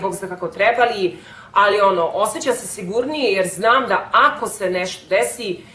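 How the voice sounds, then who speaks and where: A woman speaks with a Serbian accent at a medium pitch, her pitch varying in an ordinary way. Background noise is noticeable. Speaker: vlogger. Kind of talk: casual vlog talk.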